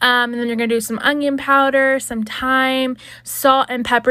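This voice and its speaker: Here a woman speaks in a high-pitched voice. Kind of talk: cooking tutorial. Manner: fast; casual, chatty.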